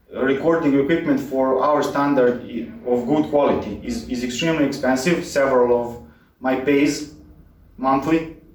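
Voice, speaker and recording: With a Serbian accent and fairly even intonation, a man speaks at a moderate pace amid noticeable background noise and audible room echo. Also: fairly high pitch for a man. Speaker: cycling mechanic YouTuber. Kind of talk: direct-to-camera channel introduction. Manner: halting, many filler words. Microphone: poor audio quality, cheap microphone.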